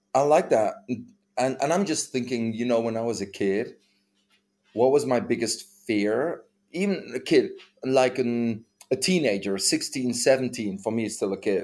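A man with a non-native accent speaks at a moderate pace in a medium pitch with ordinary pitch variation. He leaves long, frequent pauses, and the recording is very clean, with a silent background. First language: not English. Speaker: podcast co-host. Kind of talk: casual chat. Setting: home recording.

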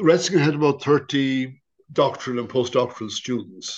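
A man with an Irish accent, fairly high pitch and a fairly quick pace against a quiet background. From Ireland. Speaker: priest and theology professor. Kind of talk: interview.

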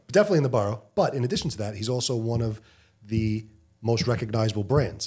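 Talking very fast, a man has a medium pitch, a dark, mellow tone, a somewhat breathy sound and ordinary pitch variation. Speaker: podcast co-host. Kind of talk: casual chat.

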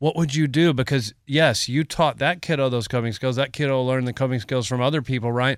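A man's plain, everyday voice at medium pitch, fairly quick, with fairly even intonation and very even loudness, in a very clean recording with a silent background. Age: 50s. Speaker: radio host. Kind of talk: radio show conversation. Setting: studio. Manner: joking, humorous.

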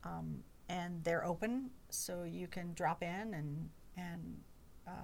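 A woman with an American accent speaks very slowly, with long, frequent pauses and big swings in loudness. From North Carolina, Chapel Hill. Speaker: employee forum chair. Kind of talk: podcast interview.

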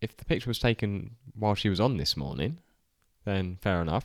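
The speaker has an English accent. The sound is dry and close, with no echo. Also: man. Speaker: podcast co-host. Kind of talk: casual chat.

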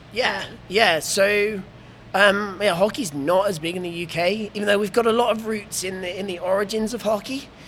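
This man's voice is high-pitched, with fairly even intonation and an English accent. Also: moderate pace. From Oxford, England. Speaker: blind ice hockey player. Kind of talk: interview, casual conversation. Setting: hockey festival venue.

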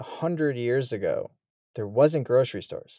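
A man talks with an American accent and a dark, mellow tone. The sound is dry and close, with no echo. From US Midwest, Chicago area. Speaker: wildlife photographer and filmmaker. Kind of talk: casual interview conversation. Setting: remote call from his bus home.

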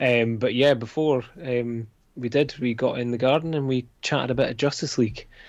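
A man with a Dundee accent speaks at a moderate pace and medium pitch. His intonation is fairly even, and the background is quiet. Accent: Scottish (Dundee). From Scotland. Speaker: comics creator. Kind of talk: casual chat.

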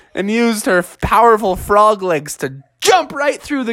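Against a quiet background, someone reads aloud in a natural reading voice.

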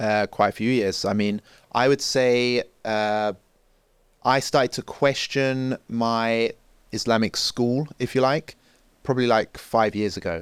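Over a silent background in a very clean recording, a man with a London accent talks at a fairly slow pace with fairly even intonation, long, frequent pauses and a dry, close sound with no echo. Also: medium pitch for a man. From North London, England (Enfield). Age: 30s. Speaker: journalist and social commentator. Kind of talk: podcast interview.

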